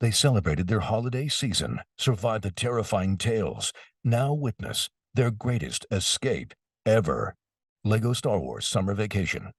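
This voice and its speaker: A booming, put-on character voice moves at a moderate pace with lively intonation, in a dry, close sound with no echo. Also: man, medium pitch for a man. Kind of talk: dramatic trailer narration.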